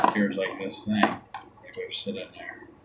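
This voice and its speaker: A man talks at a moderate pace while loud noise fills the background. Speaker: unboxing host. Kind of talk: ASMR unboxing and tea tasting video. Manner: soft-spoken. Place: home room. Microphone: phone near.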